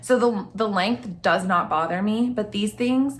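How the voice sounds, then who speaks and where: A woman talks in an animated tone, her pitch fairly high with ordinary variation. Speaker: lifestyle YouTuber. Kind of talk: casual product review vlog. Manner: chatty, animated.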